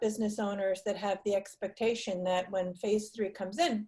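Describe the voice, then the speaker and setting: Somewhat breathy, a woman in an American accent speaks at a moderate pace. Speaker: marketing presenter. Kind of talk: webinar Q&A.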